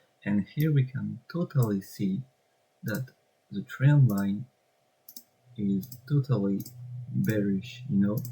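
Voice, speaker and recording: At a very slow pace with long, frequent pauses, a man speaks in a fairly low, dark, mellow voice that is somewhat breathy. His intonation is lively. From France. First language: French. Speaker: trading content creator. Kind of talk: screen-share tutorial. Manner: halting, with many fillers.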